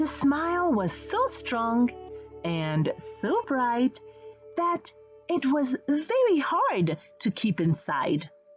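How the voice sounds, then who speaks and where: A woman talks at a very slow pace, her loudness very even. Music plays in the background. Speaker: audiobook narrator. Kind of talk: children's storybook reading.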